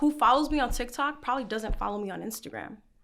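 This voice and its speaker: A bright, sharp voice in a New York accent moves at a fairly quick pace with ordinary pitch variation. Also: woman. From New York, the Bronx. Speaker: content creator. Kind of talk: interview answer.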